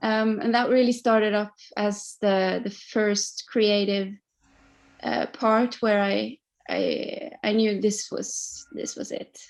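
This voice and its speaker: A woman speaks very slowly with a Norwegian accent, her fairly high voice keeping a fairly even intonation. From Norway. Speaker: singer-songwriter. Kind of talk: interview.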